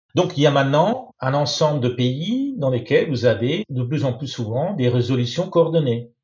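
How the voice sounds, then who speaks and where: A somewhat breathy man, fairly high pitch, moderate pace with hardly any pauses. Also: ordinary pitch variation. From Italy. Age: 60s. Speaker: lawyer. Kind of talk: interview.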